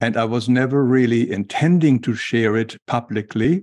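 The speaker's German accent comes through a dry, close sound with no echo, the intonation fairly even. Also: man. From Germany. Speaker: author, illustrator and spiritual teacher. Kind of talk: interview about spirituality.

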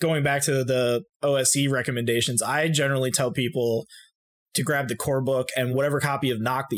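An ordinary speaking voice from a man with an American accent, medium in pitch, at a fairly quick pace, with very even loudness and fairly even intonation, on a very clean recording with a silent background. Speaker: game designer. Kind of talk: casual chat.

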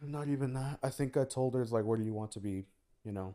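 Quiet and dark, mellow in tone, a man talks with an American accent. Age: 20s. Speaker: former podcast co-host. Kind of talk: casual chat. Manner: quieter.

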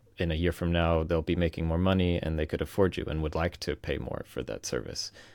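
A man with an American accent speaks fairly quickly in a very deep, low pitch with vocal fry. The recording is very clean and the background silent. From US East Coast, Virginia. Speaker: freelancer turned software founder. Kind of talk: interview conversation.

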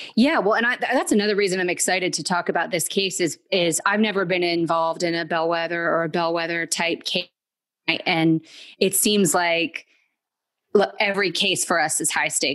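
A woman in a normal speaking voice, fairly low in pitch, at a fairly quick pace with fairly even intonation. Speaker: podcast co-host, lawyer. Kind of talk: casual chat.

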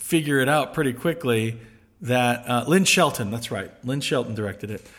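Lively in intonation, a man with a normal speaking voice speaks at a moderate pace. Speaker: podcast host. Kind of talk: casual chat.

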